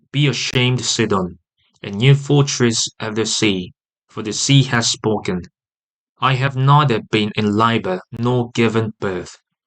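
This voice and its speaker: A man speaks at a fairly slow pace with a British accent. His pitch is medium, and the background is quiet. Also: ordinary pitch variation. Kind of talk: audio Bible reading.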